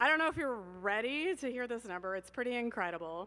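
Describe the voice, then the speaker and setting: Loud and animated, a woman speaks with a bright, sharp tone and ordinary pitch variation. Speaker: fundraising auctioneer. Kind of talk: live paddle-raise fundraising appeal. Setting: stage at live event with audience, livestreamed.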